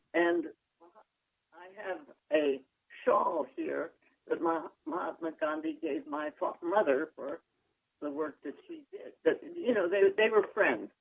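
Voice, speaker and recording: A woman speaks at a very slow pace, with long, frequent pauses. Her loudness swings widely. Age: old. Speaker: physician. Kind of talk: interview answer.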